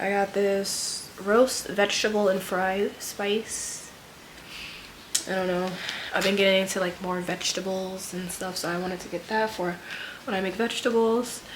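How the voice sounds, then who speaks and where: A woman at medium pitch, monotone and flat, at a moderate pace, with audible room echo and noticeable background noise. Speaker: lifestyle vlogger and nurse. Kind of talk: casual vlog haul. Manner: casual, filler-heavy.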